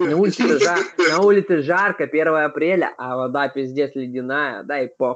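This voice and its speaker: His pitch moves in an ordinary way. The voice belongs to a man. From Vladivostok, Russia. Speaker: video chat user. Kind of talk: casual chat, heavy swearing. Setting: video chat. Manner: swearing, emotional. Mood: animated, swearing, complaining. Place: home room. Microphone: webcam.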